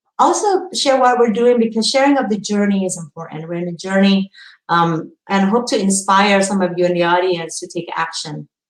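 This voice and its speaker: A woman with a non-native accent speaks at a moderate pace. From Indonesia. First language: not English. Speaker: publishing professional. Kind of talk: conference presentation. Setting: virtual symposium. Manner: halting, many fillers and repeats.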